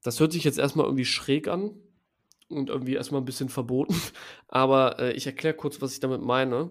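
On a very clean recording with a silent background, a man talks at a fairly quick pace and a fairly high pitch, with ordinary pitch variation and long, frequent pauses. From Düsseldorf, Germany. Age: 20s. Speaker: growth hacking agency founder. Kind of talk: interview. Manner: casual, many fillers.

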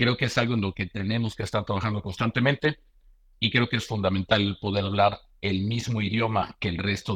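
A man speaks at a very fast pace with a fairly low pitch and fairly even intonation. The sound is dry and close with no echo over a quiet background. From Mexico. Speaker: bank security executive. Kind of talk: casual interview.

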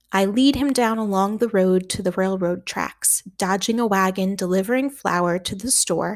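Reading aloud plainly, the pitch varying in an ordinary way

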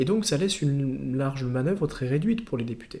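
A man talks at a fairly quick pace with lively intonation and a fairly high pitch. His tone is dark, mellow and somewhat breathy. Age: 30s. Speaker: politician. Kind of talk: interview. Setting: party headquarters office.

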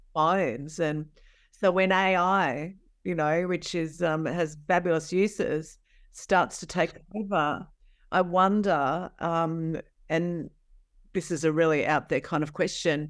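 A woman with a normal speaking voice talks at a fairly slow pace and fairly low pitch, with fairly even intonation, in a very clean recording with a silent background. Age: 60s. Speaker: podcast host. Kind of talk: interview conversation.

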